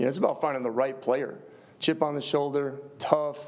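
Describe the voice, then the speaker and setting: Someone talks at a fairly quick clip with a slight Upper Midwest accent and fairly even intonation. The room echo is audible and the background noise is noticeable. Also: man. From US Midwest, Upper Peninsula area. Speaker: football head coach. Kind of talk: press conference answers. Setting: press conference.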